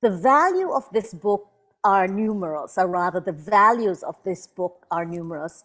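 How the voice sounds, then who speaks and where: At a moderate pace, a woman with an unremarkable speaking voice talks in a medium pitch. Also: ordinary pitch variation. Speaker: invited speaker, Caribbean writer and thinker. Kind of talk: prepared book presentation talk. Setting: online video event with simultaneous interpretation.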